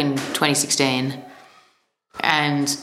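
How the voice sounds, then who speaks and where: With audible room echo, a woman speaks in an Australian accent at a very deep, low pitch. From Australia, Melbourne. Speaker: musician. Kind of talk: interview. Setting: office.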